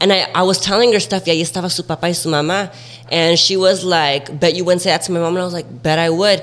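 Over noticeable background noise, a man with an American accent talks at a very fast pace, using a high pitch and fairly even intonation. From Central Valley, California. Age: 20s. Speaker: TikTok content creator. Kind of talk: casual chat, podcast interview. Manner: casual, playful.

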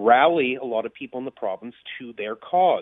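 This is a man with an ordinary speaking voice. His pitch sits at a medium level. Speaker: political commentator. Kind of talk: news commentary.

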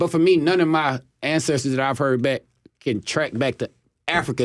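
A very fast man's voice, fairly high in pitch, with a Southern US accent. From US South, Chattanooga, Tennessee. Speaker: professional football player. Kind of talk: radio interview. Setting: studio.

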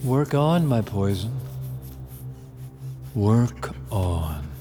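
Using a put-on character voice, a man talks very slowly in a fairly low, dark, mellow tone with big pitch swings as faint music plays in the background.

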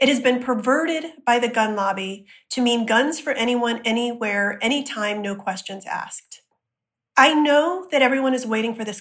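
A woman talks in a normal speaking voice at a moderate pace, fairly high in pitch with ordinary pitch variation. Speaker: activist and gun control advocate. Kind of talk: serious interview discussion.

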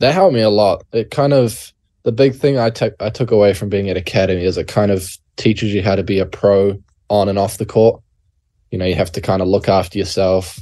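Fairly quick and fairly low-pitched, this man's speech has a dark, mellow tone. His pitch varies in an ordinary way against a quiet background. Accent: New Zealand. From New Zealand. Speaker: college basketball player. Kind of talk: interview. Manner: halting, many fillers.

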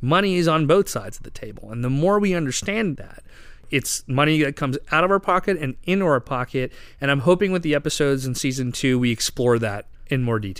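On a very clean recording with a silent background, a man talks in a normal speaking voice, fairly high-pitched and fairly quick, with lively intonation. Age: 30s. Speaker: finance podcast host. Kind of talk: interview.

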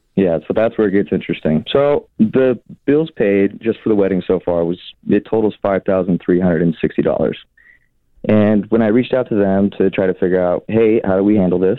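A man speaks in a normal speaking voice at a moderate pace and fairly low pitch. His loudness stays very even and his pitch varies in an ordinary way. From Seattle. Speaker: caller. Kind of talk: casual chat. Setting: phone call.

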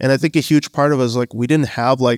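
In a very clean recording with a silent background, a man has a plain, everyday voice at a fairly high pitch. The sound is dry and close with no echo, his pace fairly quick and his pitch variation ordinary. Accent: Canadian. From Canada, Bangladeshi family. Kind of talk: live panel interview. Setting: stage with audience.

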